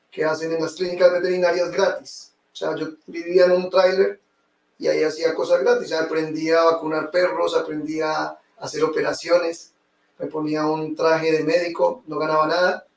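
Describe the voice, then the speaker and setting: A man speaks in a Colombian accent. His pace is moderate. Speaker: real estate investor. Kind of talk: interview testimony.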